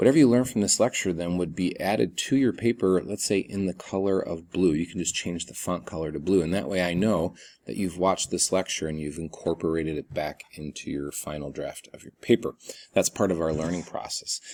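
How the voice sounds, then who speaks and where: A man speaks at a fairly quick pace in a very deep, low voice with ordinary pitch variation. The recording is very clean, with a silent background. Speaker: college instructor. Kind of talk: recorded video lecture. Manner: fast.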